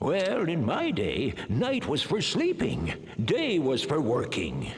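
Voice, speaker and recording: A man does a cartoonish character voice at a fairly high pitch, speaking at a fairly slow pace with a clear echo around him. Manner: old-fashioned, bluff.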